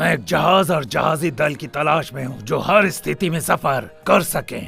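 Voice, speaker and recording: Over clear background noise, a man does a cartoonish character voice at a fairly high pitch. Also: moderate pace. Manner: gruff, bossy.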